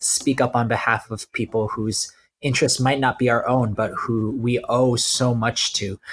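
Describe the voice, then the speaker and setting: Speaking at medium pitch, a man delivers his words at a fairly slow pace in a monotone, flat intonation, and he sounds somewhat breathy. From New York. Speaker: pastor. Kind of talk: panel discussion.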